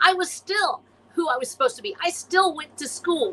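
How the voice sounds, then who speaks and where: Raised and projected, a woman's extremely high-pitched voice carries a passionate tone and very wide pitch swings. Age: 60s. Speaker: science fiction author and illustrator. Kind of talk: podcast interview.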